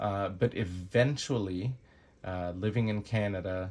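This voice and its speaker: A man speaks with fairly even intonation. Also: very clean recording, silent background. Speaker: knife reviewer YouTuber. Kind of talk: product review. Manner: slow; hesitant with awkward pauses.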